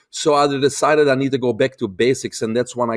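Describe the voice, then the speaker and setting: Speaking at a very fast pace in a Belgian accent, a man with a medium pitch is heard in a very clean recording with a silent background and a dry, close sound with no echo. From Belgium. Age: 50s. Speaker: holistic health expert. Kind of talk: interview.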